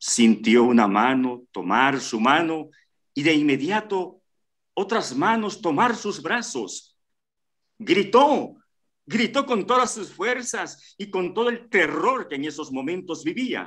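Against a quiet background, a man speaks very slowly at a high pitch, with very wide pitch swings. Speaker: story narrator. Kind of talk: dramatic suspense narration, reading a short story aloud. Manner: slow, hushed and tense, building suspense. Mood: suspenseful, dramatic. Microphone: video call.

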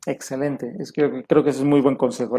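A man's voice carries a dark, mellow tone at a fairly high pitch. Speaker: language school director and show host. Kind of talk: interview. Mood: warm, polite. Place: home room. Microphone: video call.

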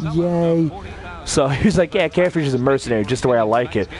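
With lively intonation and a fairly high pitch, a man speaks fairly quickly while noticeable background noise runs underneath. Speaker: gaming streamer. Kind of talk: casual gaming stream, profane rambling. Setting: home stream, recorded gameplay. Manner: rambling, profane, casual.

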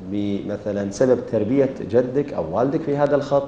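Through noticeable background noise, a man can be heard with a medium pitch. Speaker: interviewer. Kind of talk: interview. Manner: formal.

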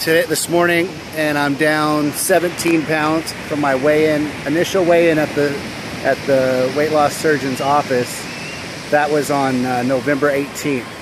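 A man speaks at a fairly slow pace in a monotone, flat intonation. The sound is dry with no echo, and there is noticeable background noise. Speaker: weight loss vlogger. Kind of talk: casual vlog chat. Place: beach. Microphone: phone near.

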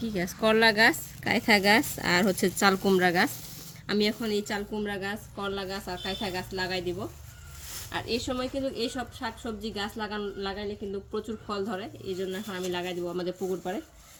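Woman with an ordinary speaking voice, medium pitch and fairly even intonation. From rural Bangladesh. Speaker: village vlogger. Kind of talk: casual vlog narration.

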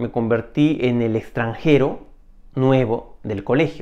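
A man talks at a fairly slow pace, his pitch varying in an ordinary way against a quiet background. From Peru. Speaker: video storyteller. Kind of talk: personal story monologue. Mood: reflective, calm. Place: home room. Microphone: lapel.

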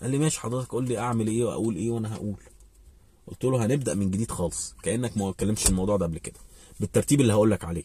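Somewhat breathy, a man speaks in a dry sound with no echo. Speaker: vlogger giving advice. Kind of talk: casual vlog chat, storytelling. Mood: animated, recounting a conversation. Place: car. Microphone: phone near.

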